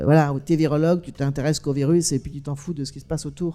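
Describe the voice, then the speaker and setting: A woman's very deep, low voice with a dark, mellow tone at a very fast pace, in a very clean recording with a silent background. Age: 60s. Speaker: documentary filmmaker and author. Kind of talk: panel discussion. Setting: stage with audience. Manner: animated.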